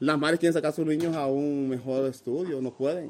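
A man with a Honduran accent speaks at a fairly quick pace and a fairly high pitch, using fairly even intonation. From Honduras, north coast Garifuna community. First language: Garifuna (speaking Spanish). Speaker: migrant. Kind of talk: interview. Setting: migrant shelter.

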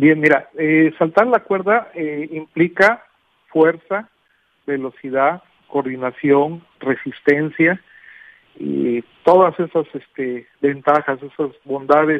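A man with a fairly high pitch talks at a very slow pace, using ordinary pitch variation and long, frequent pauses. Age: 50s. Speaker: physical education teacher. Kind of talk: interview. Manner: halting.

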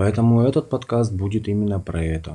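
A man speaks in a dark, mellow tone. His voice is somewhat breathy, and his intonation stays fairly even. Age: 30s. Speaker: podcast host, stay-at-home dad. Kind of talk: solo podcast monologue.

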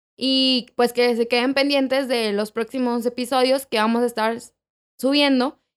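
An unremarkable speaking voice with fairly even intonation comes through a very clean recording against a silent background. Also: woman. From Mexico City. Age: 20s. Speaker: podcast co-host. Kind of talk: casual chat.

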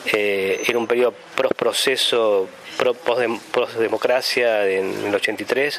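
Speaking at a very slow pace, a man keeps his loudness very even over noticeable background noise. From Argentina, La Pampa (Santa Rosa). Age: 40s. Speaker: sculptor. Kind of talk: interview testimony. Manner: hesitant, many fillers and repetitions.

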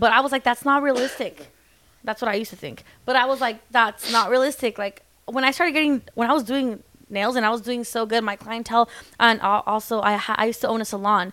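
A woman talks at a very fast pace in a bright, sharp tone, her fairly high pitch moving with ordinary variation. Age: 20s. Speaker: celebrity nail tech. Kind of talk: casual chat.

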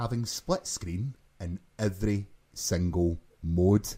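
A man's somewhat breathy voice, dark and mellow in tone, at a very slow pace. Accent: Glasgow. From Glasgow, Scotland. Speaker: podcast co-host. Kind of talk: casual chat, podcast.

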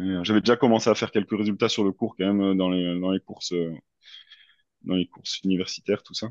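A plain, everyday voice from a man, fairly low in pitch, at a fairly quick pace with fairly even intonation, the sound dry and close with no echo over a quiet background. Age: 30s. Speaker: amateur triathlete. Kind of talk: interview.

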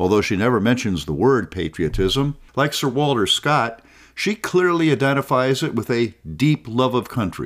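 A man's voice with vocal fry and very wide pitch swings, in a very clean recording with a silent background. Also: medium pitch for a man, moderate pace. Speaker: podcast host and scholar. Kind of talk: educational talk, scripted narration. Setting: studio. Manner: formal, measured.

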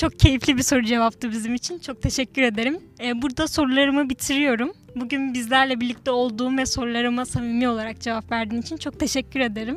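With hardly any pauses, a woman talks at a very fast pace in a high pitch, with fairly even intonation and noticeable background noise. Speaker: student podcast host. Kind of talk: interview.

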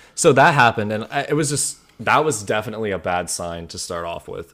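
On a very clean recording with a silent background, a man speaks with an American accent. He keeps a moderate pace and lively intonation. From US Midwest, Ohio. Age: 20s. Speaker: podcast co-host, engineering student. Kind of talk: casual chat.

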